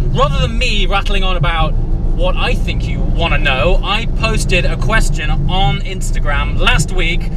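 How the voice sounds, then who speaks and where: Over loud background noise, a man talks at a fairly slow pace in a dry sound with no echo. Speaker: car vlogger. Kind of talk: casual vlog chat. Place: car.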